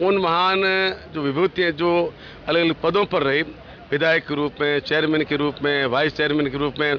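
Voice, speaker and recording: There is noticeable background noise behind this man. He talks at a moderate pace with a fairly high pitch and fairly even intonation. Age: 70s. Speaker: state minister. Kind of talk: interview.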